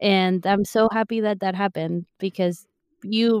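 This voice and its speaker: On a very clean recording with a silent background, a woman's medium-pitched voice moves with ordinary pitch variation and sounds dry and close, without echo. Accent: Spanish. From Argentina. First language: Spanish. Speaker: podcast co-host, online sales counselor. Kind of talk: casual chat.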